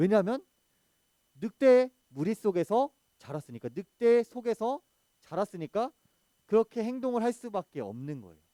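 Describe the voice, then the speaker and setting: A man speaks in a high pitch with a dark, mellow tone, lively intonation and big swings in loudness. Long, frequent pauses break up his speech, and the sound is dry and close with no echo. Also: moderate pace. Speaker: junior pastor preaching to children. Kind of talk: children's sermon. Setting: church service, streamed on video call. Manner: engaging, asks the audience questions.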